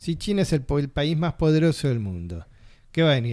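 On a very clean recording with a silent background, a man speaks fairly quickly at a fairly high pitch in a dark, mellow tone. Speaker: radio host. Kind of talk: radio talk show.

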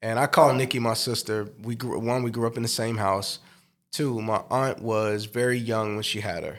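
Using a monotone, flat intonation, a man with an American accent speaks at a medium pitch and a moderate pace. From US Midwest, South Side of Chicago. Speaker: pastor and musician. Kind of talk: interview conversation.

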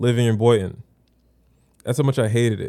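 On a very clean recording with a silent background, a man with an American accent speaks very fast with fairly even intonation. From South Florida, Haitian heritage. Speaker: podcast co-host and photographer. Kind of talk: casual chat.

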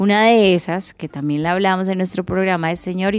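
A woman with a fairly low pitch and fairly even intonation speaks in a plain, everyday voice. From Colombia, Cali. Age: 30s. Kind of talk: radio magazine show, casual chat and news segments.

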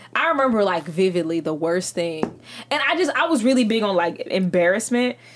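Over noticeable background noise, a woman talks fairly quickly with hardly any pauses, a medium pitch, very wide pitch swings and very even loudness. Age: 20s. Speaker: podcast guest, podcast co-host. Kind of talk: casual chat.

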